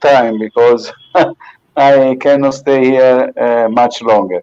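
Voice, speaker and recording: A man with a non-native accent speaks at a very slow pace. His tone is dark and mellow. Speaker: viewer asking a question. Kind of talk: casual chat. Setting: online video call. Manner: halting.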